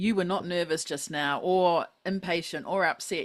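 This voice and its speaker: A fairly low-pitched woman with a New Zealand accent on a very clean recording with a silent background. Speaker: podcast host. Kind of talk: podcast interview.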